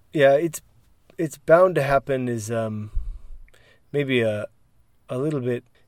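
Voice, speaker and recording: On a very clean recording with a silent background, a man with a fairly high pitch speaks very slowly with lively intonation, the sound dry and close with no echo. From United States. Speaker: English teacher and podcast co-host. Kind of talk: casual chat.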